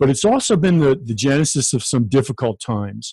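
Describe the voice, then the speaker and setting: In a quiet setting, a man with an American accent speaks fairly quickly at medium pitch, his dark, mellow tone somewhat breathy. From New York (Staten Island). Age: 60s. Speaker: financial industry speaker and trainer, army veteran. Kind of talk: podcast interview. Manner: halting, frequent self-restarts.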